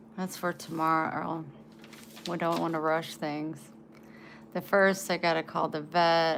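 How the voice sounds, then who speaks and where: A woman with an American accent speaks fairly slowly at a fairly low pitch. Her intonation is flat and monotone, with long, frequent pauses. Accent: country twang. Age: 40s. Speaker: livestreamer. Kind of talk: casual chat.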